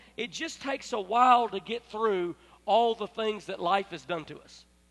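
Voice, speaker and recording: A man's high-pitched voice moves along fairly quickly, its pitch rising and falling in an ordinary way. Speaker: pastor. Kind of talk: sermon. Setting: church.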